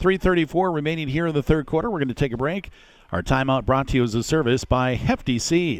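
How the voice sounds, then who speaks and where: A man talks in an ordinary speaking voice at a fairly quick pace. His pitch is fairly high, with lively intonation. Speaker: radio play-by-play announcer. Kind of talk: live sports commentary. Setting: stadium broadcast, live radio.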